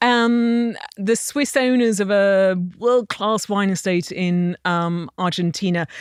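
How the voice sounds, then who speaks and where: In an English accent, a woman talks with ordinary pitch variation, her sound dry and close with no echo on a very clean recording with a silent background. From England. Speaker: wine industry entrepreneur. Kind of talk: interview conversation.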